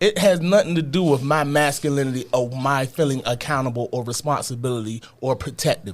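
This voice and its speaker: An unremarkable speaking voice from a man with fairly high pitch. He talks at a fairly quick pace with hardly any pauses and ordinary pitch variation. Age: 40s. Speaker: podcast co-host. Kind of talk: casual chat.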